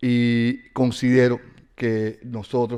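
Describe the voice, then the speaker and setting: This man speaks at a medium pitch with a Latin American accent. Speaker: university professor and novelist. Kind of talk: lecture. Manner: halting, many fillers.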